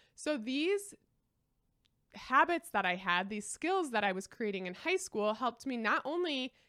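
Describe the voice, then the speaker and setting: A woman with a Midwestern US accent, a fairly high pitch, lively intonation and a moderate pace. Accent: US Midwest. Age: 20s. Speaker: lifestyle podcaster. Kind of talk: solo monologue.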